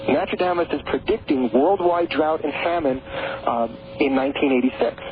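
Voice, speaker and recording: A man keeps a moderate pace and ordinary pitch variation in his fairly high voice, with noticeable background noise behind him. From New York. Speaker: author on prophecy and the Great Pyramid. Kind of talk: radio interview. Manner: halting, many repeated words.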